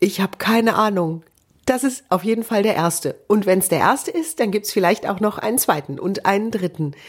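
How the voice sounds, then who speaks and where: Speaking at a fairly quick pace, a woman uses lively intonation and a fairly high pitch. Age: 40s. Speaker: TV presenter and speech trainer. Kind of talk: solo podcast monologue. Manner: trained clear broadcast diction.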